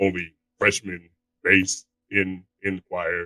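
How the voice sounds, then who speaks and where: A man talks in a very deep, low pitch with a monotone, flat intonation. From Alaska. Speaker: voice actor. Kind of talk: interview.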